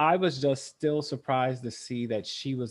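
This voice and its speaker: Over a quiet background, a man with a normal speaking voice talks at a fairly slow pace, his medium pitch varying in an ordinary way. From US South. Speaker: state librarian. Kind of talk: casual chat.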